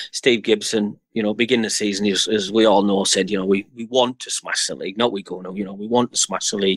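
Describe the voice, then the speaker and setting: In a Middlesbrough accent, a man talks fairly quickly at a fairly low pitch with fairly even intonation, the sound dry and close with no echo. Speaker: football fan channel presenter. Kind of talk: casual chat.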